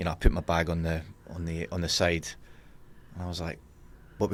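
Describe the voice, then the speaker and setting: Rattling along at a very fast pace, a man with a Scottish accent speaks in a very deep, low pitch. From Scotland, Edinburgh. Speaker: lending industry manager. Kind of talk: casual chat.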